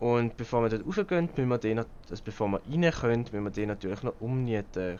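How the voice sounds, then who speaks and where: Medium-pitched male speech with a Swiss accent. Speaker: gaming YouTuber. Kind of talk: let's play gameplay commentary. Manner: casual.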